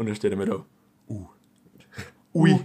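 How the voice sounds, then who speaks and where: A man speaks in an animated tone. His pitch swings very widely. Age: 20s. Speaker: podcast co-host. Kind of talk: casual chat.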